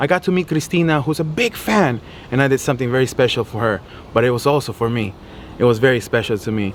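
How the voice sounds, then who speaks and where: Speaking very fast, a man with a medium pitch uses lively intonation. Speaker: fishing channel host. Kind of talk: casual video blog; spanish translation for viewers. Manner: stutter.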